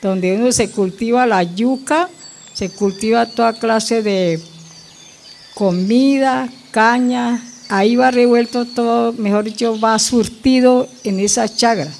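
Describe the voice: A woman talks slowly with a fairly high pitch and vocal fry. Her tone is slightly mellow. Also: ordinary pitch variation.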